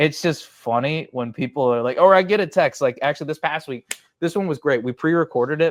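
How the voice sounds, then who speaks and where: A man speaks at a very fast pace with ordinary pitch variation on a very clean recording with a silent background. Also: dry, close sound with no echo. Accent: American. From Chicago, south side. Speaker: sports media personality. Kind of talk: podcast interview. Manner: loud; animated.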